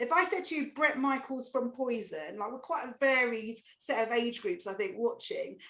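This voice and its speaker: In an Essex accent, a woman speaks at a high pitch with a bright, sharp tone and lively intonation. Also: moderate pace. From Essex, England. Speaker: comedian. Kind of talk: stand-up. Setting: video call.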